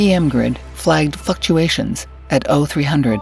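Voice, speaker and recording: With music in the background, the words come at a very slow pace. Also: woman. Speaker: voice actor. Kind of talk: audiobook fiction narration.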